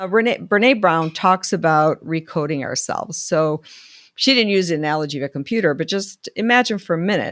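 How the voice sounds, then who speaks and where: Fairly low in pitch and lively in intonation, a woman speaks fairly quickly in an ordinary speaking voice, in a very clean recording with a silent background. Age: 60s. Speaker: life coach. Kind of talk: solo video talk. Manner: conversational.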